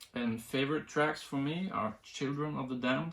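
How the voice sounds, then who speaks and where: A man with a Norwegian accent speaks with ordinary pitch variation. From Norway. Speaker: music reviewer. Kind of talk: casual video review. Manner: halting, many fillers.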